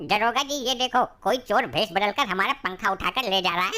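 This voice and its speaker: A woman's cartoonish character voice, medium in pitch with ordinary variation, at a fairly quick pace. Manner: rustic, chatty.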